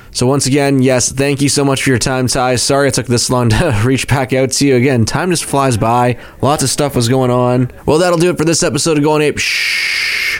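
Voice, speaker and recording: Over noticeable background noise, a man at medium pitch talks at a moderate pace with hardly any pauses, fairly even intonation and very even loudness. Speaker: podcast host. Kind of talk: casual interview chat.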